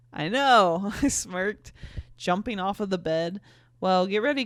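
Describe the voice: The words are read aloud. It is plain reading, nothing more.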